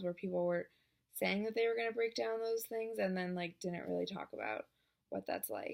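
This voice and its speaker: The recording is very clean, the background silent. A woman talks fairly quickly. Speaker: vlogger. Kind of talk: casual vlog monologue. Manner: talking loudly; hesitant, many fillers.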